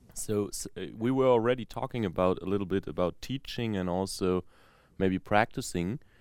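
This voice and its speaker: An unremarkable speaking voice talks at a moderate pace with ordinary pitch variation, recorded very cleanly against a silent background. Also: man, fairly low pitch for a man. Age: young. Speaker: podcast host, young saxophonist. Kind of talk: moderated interview.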